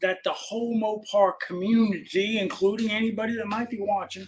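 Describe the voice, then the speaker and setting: A man with an American accent speaks at a moderate pace in a high voice, his intonation fairly even. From New York, Long Island. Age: 60s. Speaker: classic car parts dealer. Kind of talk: casual chat. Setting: live stream.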